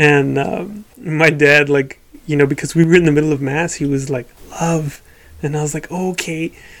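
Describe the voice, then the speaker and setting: Fairly even intonation and a moderate pace in a man's normal speaking voice, with fairly high pitch. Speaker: podcast co-host. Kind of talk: casual chat.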